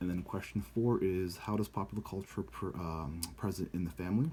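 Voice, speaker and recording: A man with a very deep, low pitch and a dark, mellow tone speaks at a moderate pace. His voice is somewhat breathy, with lively intonation. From United States, born in Brazil. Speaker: student. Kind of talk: video blog answering class questions. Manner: casual with many fillers.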